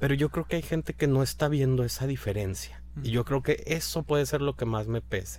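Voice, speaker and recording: A man at a moderate pace. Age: 30s. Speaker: food blogger and architect. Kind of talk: interview.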